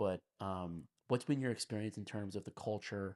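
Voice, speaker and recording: A man speaks in a normal speaking voice, fairly low in pitch and fairly slow, with a dry, close sound free of echo on a very clean recording with a silent background. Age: 30s. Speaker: podcast host. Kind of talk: casual podcast interview.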